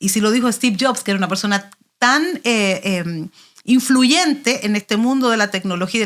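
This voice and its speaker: A woman speaks at a fairly quick pace in an animated tone that is bright and sharp. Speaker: pastor. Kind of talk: interview.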